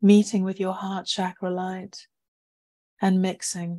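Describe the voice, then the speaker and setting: A woman's very slow, somewhat breathy voice at medium pitch, dark and mellow in tone, soothing, with monotone, flat intonation, on a very clean recording with a silent background. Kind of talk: guided meditation. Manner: slow, soft and soothing; gentle, calm and unhurried.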